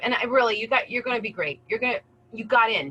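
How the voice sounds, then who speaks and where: A woman with an American accent talks at a very fast pace in a fairly high voice, her pitch moving in an ordinary way, recorded dry and close with no echo. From US East Coast. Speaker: career center adviser. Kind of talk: webinar presentation. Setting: video call. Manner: animated.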